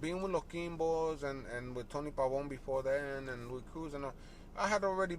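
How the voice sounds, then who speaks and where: Speaking at a moderate pace with an ordinary speaking voice, a man pitched fairly high lets his pitch vary in an ordinary way. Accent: American. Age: 60s. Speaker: salsa bassist. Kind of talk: casual interview. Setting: in a parked car.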